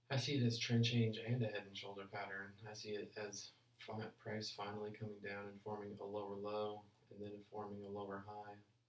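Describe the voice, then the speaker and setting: Fairly low-pitched male voice, monotone and flat, fairly quick pace, audible room echo. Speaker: forex trader streaming live analysis. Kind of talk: live trading stream commentary. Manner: casual, halting with repeated words; mumbling.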